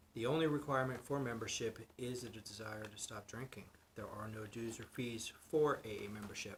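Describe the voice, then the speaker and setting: A man speaks in an ordinary speaking voice at medium pitch, his intonation fairly even. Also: big swings in loudness. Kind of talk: meeting opening reading.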